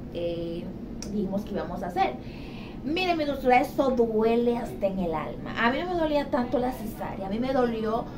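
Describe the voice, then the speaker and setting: Someone speaks at a fairly quick pace against noticeable background noise. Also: woman. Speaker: vlogger sharing a birth story. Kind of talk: casual vlog chat. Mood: animated, dramatic storytelling about pain. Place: home room. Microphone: phone near.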